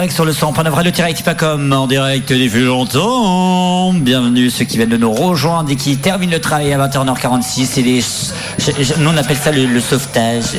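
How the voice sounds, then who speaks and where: Music plays behind a man speaking at a moderate pace in a fairly high pitch, with ordinary pitch variation and very even loudness. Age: 20s. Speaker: radio host. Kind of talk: live radio show patter, banter with co-hosts. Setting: live studio at a festival.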